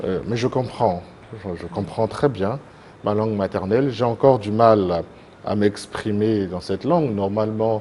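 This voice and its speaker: Against noticeable background noise, a man talks fairly slowly at a fairly low pitch with ordinary pitch variation. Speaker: association president, TV guest. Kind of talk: TV interview. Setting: TV studio. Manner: hesitant, many fillers.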